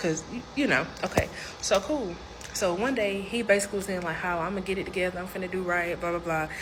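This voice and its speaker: Speaking at a very fast pace, a woman with a medium pitch and ordinary pitch variation is heard over noticeable background noise and audible room echo. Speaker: storyteller. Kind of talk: storytime monologue. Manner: animated.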